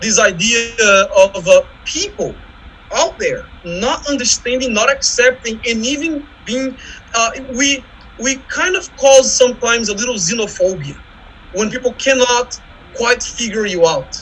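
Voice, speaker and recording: A man with a Brazilian accent speaks at an extremely high pitch and a moderate pace, with lively intonation and long, frequent pauses. Noticeable background noise runs underneath. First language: Portuguese. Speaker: visual artist and academic. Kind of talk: panel discussion. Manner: halting.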